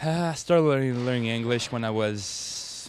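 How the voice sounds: A man talks at a moderate pace. His pitch is medium, with ordinary variation.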